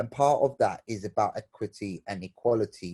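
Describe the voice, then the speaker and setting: This man's voice has a dark, mellow tone and a moderate pace. The sound is dry and close, with no echo. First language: Bengali. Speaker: theatre maker, panelist. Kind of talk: virtual panel discussion. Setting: video call. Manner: halting, many repeated words.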